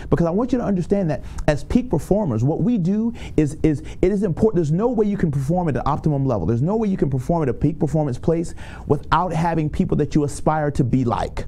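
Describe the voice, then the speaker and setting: A man with an American accent, fairly high-pitched, talking at a very fast pace with an animated tone and lively intonation amid audible room echo. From Tampa, Florida. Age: 30s. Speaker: motivational speaker. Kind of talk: motivational talk.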